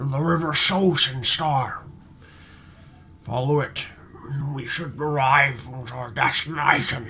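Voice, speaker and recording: A man puts on a raspy character voice at a fairly high pitch. He speaks at a fairly slow pace with long, frequent pauses. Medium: actual play. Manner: terse, practical.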